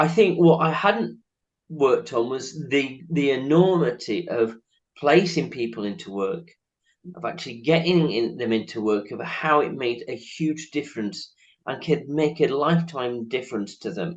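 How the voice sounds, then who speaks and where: A man with a northern English accent, fairly high-pitched, at a moderate pace with lively intonation. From northern England. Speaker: charity chief executive, interviewer. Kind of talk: interview.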